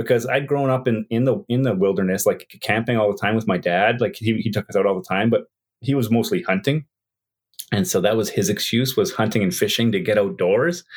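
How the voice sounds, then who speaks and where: On a very clean recording with a silent background, a man with a Canadian accent talks at a fairly quick pace. His pitch is medium, his intonation lively, and his loudness very even. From Canada, Yukon. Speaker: wildlife photographer. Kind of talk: casual interview. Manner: halting, many fillers and repeats.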